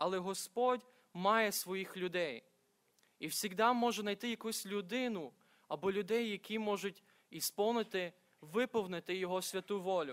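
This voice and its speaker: Against a quiet background, a man talks at a fairly slow pace. His pitch is high for a man, with ordinary pitch variation. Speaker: preacher. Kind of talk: sermon. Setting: church. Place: church. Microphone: podium.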